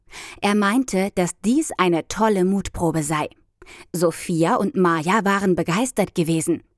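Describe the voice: The clip is plain reading aloud. Its pitch varies in an ordinary way.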